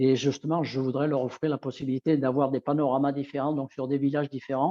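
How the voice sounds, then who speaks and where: The man's pace is very fast. His intonation stays monotone and flat. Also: fairly high pitch for a man. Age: 60s. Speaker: nordic walking instructor. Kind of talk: interview. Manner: halting.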